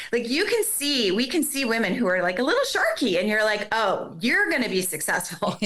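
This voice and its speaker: Amid noticeable background noise, a woman with an American accent uses a raised, projected voice at a high pitch in an animated tone. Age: 60s. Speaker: former model and makeup artist. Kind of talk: casual chat.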